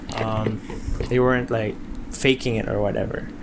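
Noticeable background noise and audible room echo accompany a man speaking at a medium pitch. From Philippines, Mindanao. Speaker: tech podcaster. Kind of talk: casual monologue. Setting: home bedroom. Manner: halting, many fillers.

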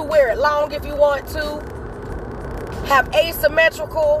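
A woman's high-pitched voice with a warm, animated tone, big swings in loudness and noticeable background noise. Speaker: podcast host. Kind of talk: solo monologue, motivational talk. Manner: warm, chatty, animated.

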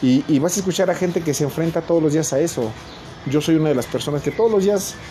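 A man speaking with ordinary pitch variation, music playing in the background. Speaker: podcast host. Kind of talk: solo monologue. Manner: halting, many filler words. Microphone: poor recording quality.

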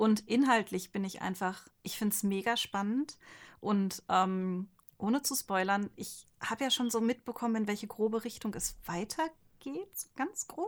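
This very clean recording has a silent background. On it, a woman with a fairly high voice speaks fairly slowly, her pitch varying in an ordinary way. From Ostwestfalen-Lippe, Germany. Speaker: manga artist. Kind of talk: casual chat.

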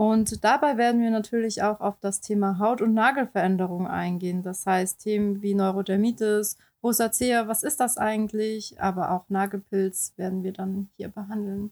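Dry and close with no echo, a woman's unremarkable speaking voice sits at a medium pitch, with fairly even intonation and hardly any pauses. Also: moderate pace, very clean recording, silent background. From Baden-Württemberg, southwestern Germany. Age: 30s. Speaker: beautician and illustrator, podcast co-host. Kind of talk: casual podcast introduction.

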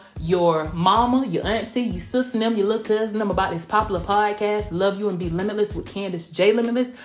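A woman's animated, medium-pitched voice with a Southern US accent, fairly quick with hardly any pauses, over noticeable background noise. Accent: Southern US, country. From southwest Georgia, US South. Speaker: R&B recording artist and podcast host. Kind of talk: casual solo podcast monologue. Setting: recorded at night in Tampa. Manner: chatty, animated, uses 'honey' and 'y'all'.

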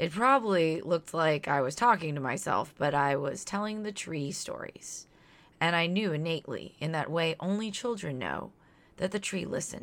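A woman's fairly low, lively voice with an American accent at a moderate pace, on a very clean recording with a silent background. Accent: Southern US, suppressed, slight. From US South (Louisiana/Mississippi). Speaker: podcast co-host. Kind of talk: scripted narration, educational podcast.

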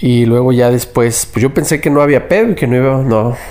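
Amid noticeable background noise, a man talks at a moderate pace and medium pitch. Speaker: anonymous listener sharing a story. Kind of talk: recorded testimony. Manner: casual slangy.

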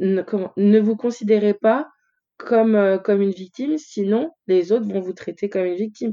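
This woman has a medium-pitched voice with a dark, mellow tone, ordinary pitch variation and a fairly slow pace. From France, Lyon. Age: 30s. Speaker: fashion blogger. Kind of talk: interview conversation.

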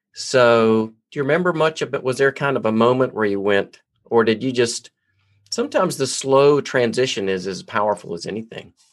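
An unremarkable speaking voice with ordinary pitch variation. The pace is fairly quick, and the background is quiet. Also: man, medium pitch for a man. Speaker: podcast host. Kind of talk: interview conversation.

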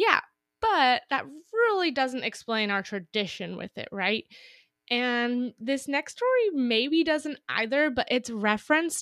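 Speaking fairly slowly in a high voice, a woman with an American accent is recorded with a dry, close sound and no echo. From Northern California, Napa. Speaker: podcast co-host. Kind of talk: casual chat. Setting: recording remotely, apart from co-host.

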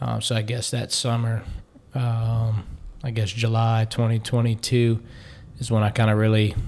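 Speaking in a Louisiana accent, a man uses a fairly low pitch and monotone, flat intonation. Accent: Louisiana Southern US. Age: 20s. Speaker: personal trainer and ex-college football player. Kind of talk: interview.

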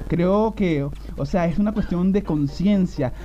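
Noticeable background noise and audible room echo surround a man speaking in a high voice with an animated tone. He keeps a moderate pace with ordinary pitch variation. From Venezuela. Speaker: radio host. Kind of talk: live radio show. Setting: studio.

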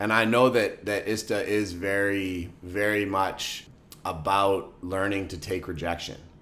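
Audible room echo surrounds a man with a fairly low pitch and a bright, sharp tone. He talks at a fairly slow pace with fairly even intonation. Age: 30s. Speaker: podcast co-host. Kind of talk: casual chat.

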